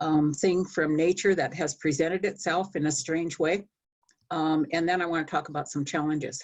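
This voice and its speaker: A woman speaks at a moderate pace with a very deep, low pitch. Her intonation stays fairly even. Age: 70s. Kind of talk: panel discussion remarks.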